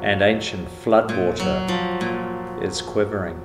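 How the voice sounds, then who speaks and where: A man is speaking. Loud background noise runs beneath his voice. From New Zealand. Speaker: spoken word poet. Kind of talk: spoken word poetry over guitar. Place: home room. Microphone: handheld.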